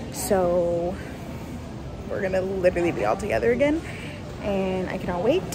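Through loud background noise, a woman speaks at a moderate pace. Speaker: travel vlogger. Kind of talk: casual vlog chat. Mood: excited about the trip. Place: station. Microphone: phone near.

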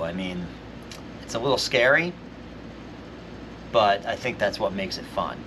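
A man is talking. Noticeable background noise runs under his voice. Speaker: teacher. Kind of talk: tutorial. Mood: relaxed, enthusiastic. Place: workshop.

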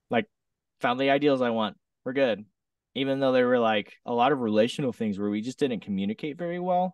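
In an American accent, a man talks at a fairly quick pace with lively intonation, a dry sound with no echo and a quiet background. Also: medium pitch for a man. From US West Coast, southern Oregon. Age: 30s. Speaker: singer-songwriter and DJ; DJ. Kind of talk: casual interview chat. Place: home room.

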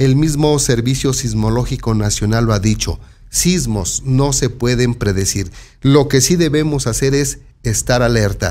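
A man speaks at a fairly slow pace in a central Mexican accent. His pitch varies in an ordinary way. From Mexico, San Martín Texmelucan, Puebla; Puebla, Mexico. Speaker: local news presenter; news presenter. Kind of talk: news commentary. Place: studio. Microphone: studio mic.

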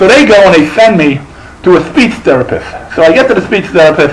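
A man speaks at a fairly quick pace in a high pitch for a man. His intonation is lively, with light background noise. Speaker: character actor and comedian. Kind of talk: stand-up comedy set. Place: stage. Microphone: handheld.

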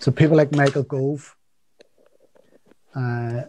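A somewhat breathy male voice with a dark, mellow tone. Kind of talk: political update talk. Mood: serious, concerned. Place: home room. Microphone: video call.

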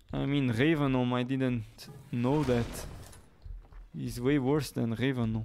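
A speaker with a Portuguese accent talks at a fairly slow pace, with long, frequent pauses and fairly even intonation. Faint music plays in the background. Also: man. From Portugal. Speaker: gaming streamer. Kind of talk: live gameplay commentary. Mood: casual, mildly surprised.

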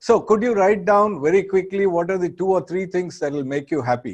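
The background is quiet as a man speaks. His high pitch moves with lively intonation. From India, Andhra Pradesh. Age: 60s. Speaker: business school professor. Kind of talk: lecture. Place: studio. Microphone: lapel.

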